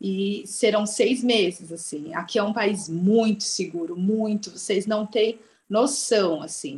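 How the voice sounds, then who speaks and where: A woman talks at a very slow pace with a medium pitch, ordinary pitch variation, and big swings in loudness. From Brazil. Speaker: travel writer. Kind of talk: interview.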